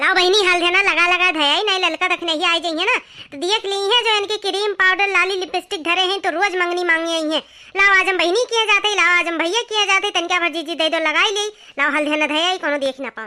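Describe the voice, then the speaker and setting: This cartoonish character voice sounds female, pitched extremely high and delivered at a very fast pace. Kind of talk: comic rustic dialect chatter. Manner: chatty, quarrelsome.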